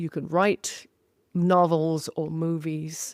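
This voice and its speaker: The voice is in a British accent. The recording is very clean, with a silent background. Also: woman, dry, close sound with no echo. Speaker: historian of science and author. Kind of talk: interview conversation. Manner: halting, many fillers and repeats.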